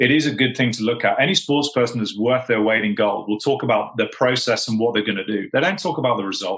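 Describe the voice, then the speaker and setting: Speech comes at a very fast pace in a British accent. The pitch varies in an ordinary way. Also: man. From Britain. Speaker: sales executive. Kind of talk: podcast interview.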